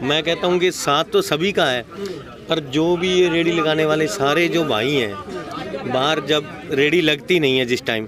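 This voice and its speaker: With crowd noise behind him, a man talks at a fairly high pitch. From Haryana. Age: 40s. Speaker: local resident. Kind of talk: street interview.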